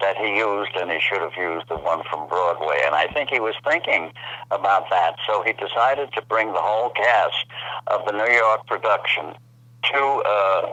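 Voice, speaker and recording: Against noticeable background noise, a man with a fairly low pitch speaks at a moderate pace with lively intonation. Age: 80s+. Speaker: actor. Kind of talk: interview answer.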